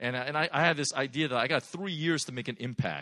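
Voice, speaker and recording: Talking at a fairly quick pace, a man uses a fairly high pitch, lively intonation and vocal fry. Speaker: pastor. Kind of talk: sermon. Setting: church.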